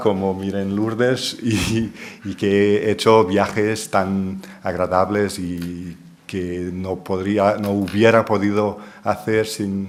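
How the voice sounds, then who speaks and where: In a Portuguese accent, a man with a fairly low voice speaks very slowly amid noticeable background noise and audible room echo. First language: Portuguese (speaking Spanish). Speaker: linguistics professor. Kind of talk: lecture.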